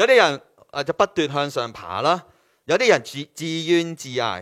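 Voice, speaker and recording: The speaker has a Hong Kong accent and lively intonation. The pace is moderate. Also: man. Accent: Hong Kong Cantonese. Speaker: preacher. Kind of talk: sermon. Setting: online church service.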